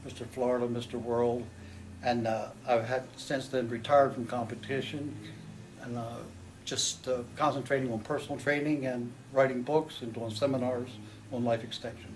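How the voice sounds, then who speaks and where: A man with an American accent speaks at a medium pitch in a monotone, flat intonation, with audible room echo. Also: moderate pace. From Maryland, US. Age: 70s. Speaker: gym owner and retired bodybuilder. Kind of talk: interview.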